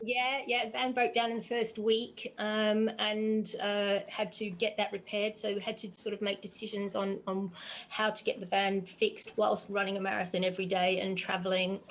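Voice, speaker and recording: In an Australian accent, a woman speaks at a moderate pace and medium pitch in a flat monotone, with hardly any pauses. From Australia, Geelong near Melbourne. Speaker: endurance runner and interviewer. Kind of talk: casual interview chat. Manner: hesitant, many fillers.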